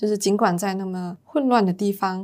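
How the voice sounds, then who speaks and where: A woman speaks at a medium pitch and moderate pace. She has an unremarkable speaking voice. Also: very clean recording, silent background. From Malaysia, Penang. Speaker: university student and intern. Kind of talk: casual interview.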